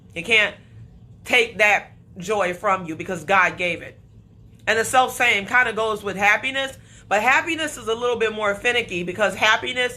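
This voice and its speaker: At a moderate pace, a woman with a fairly high pitch and ordinary pitch variation speaks in a bright, sharp, animated tone. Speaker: motivational speaker. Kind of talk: motivational talk.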